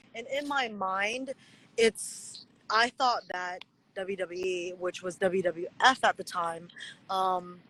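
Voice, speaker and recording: A woman with a Chinese accent, medium in pitch with a bright, sharp tone, at a very slow pace, in dry, close sound with no echo. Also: ordinary pitch variation. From USA. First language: Mandarin Chinese. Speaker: pro wrestler. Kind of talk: interview.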